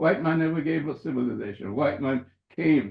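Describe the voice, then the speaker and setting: A man with a fairly high pitch speaks at a moderate pace, sounding somewhat breathy. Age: 90s. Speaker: surgeon and author. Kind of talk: interview. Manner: halting, many repetitions.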